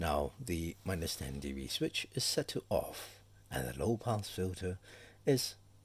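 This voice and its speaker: A man with a very deep, low pitch speaks at a very slow pace in a relaxed, somewhat breathy tone, his pitch swinging very widely. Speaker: voice actor. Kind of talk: microphone sound test. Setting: home recording, close to mic. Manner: casual, relaxed.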